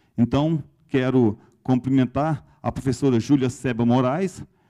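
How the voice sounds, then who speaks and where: A man talks at medium pitch with ordinary pitch variation and a dark, mellow tone. The background is quiet. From Brazil. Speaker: university pro-rector presiding ceremony. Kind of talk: ceremonial speech. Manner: formal. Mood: formal, warm. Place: hall. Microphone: handheld.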